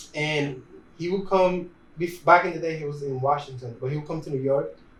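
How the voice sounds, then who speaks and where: With a Spanish accent, a man speaks fairly quickly in a somewhat breathy, fairly high voice, his intonation fairly even, and audible room echo surrounds him. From Dominican Republic. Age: 20s. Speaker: videographer and photographer. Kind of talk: casual interview.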